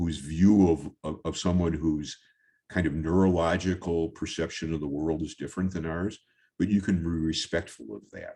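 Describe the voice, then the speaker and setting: A man's very deep, low voice, dark and mellow in tone, with ordinary pitch variation at a moderate pace over a quiet background. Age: 70s. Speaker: photographer. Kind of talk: presentation talk over slides. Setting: virtual talk. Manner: halting, many fillers.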